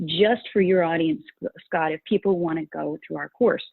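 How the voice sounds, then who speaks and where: An unremarkable speaking voice with an American accent moves at a moderate pace, with ordinary pitch variation. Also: woman. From rural Utah. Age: 60s. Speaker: values coach and course creator. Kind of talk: interview.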